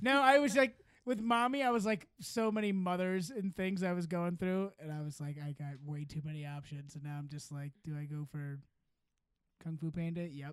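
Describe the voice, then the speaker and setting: With a Midwestern US accent, the speaker moves at a moderate pace with lively intonation and big swings in loudness. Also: man, high pitch for a man. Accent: general Midwestern US. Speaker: podcast host. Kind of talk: casual comedy banter. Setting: studio, video recorded.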